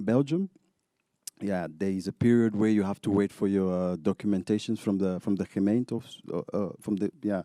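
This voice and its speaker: A man's dark, mellow tone sits at a fairly low pitch with fairly even intonation, in a dry, close sound with no echo. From Zambia. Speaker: DJ. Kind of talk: interview. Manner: halting, many fillers and repetitions.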